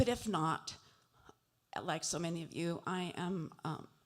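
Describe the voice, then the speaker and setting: Speaking at a fairly slow pace, a woman uses a fairly low pitch with vocal fry and fairly even intonation. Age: 70s. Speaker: family member of missing soldier. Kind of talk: public remarks at family meeting. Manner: halting, many fillers.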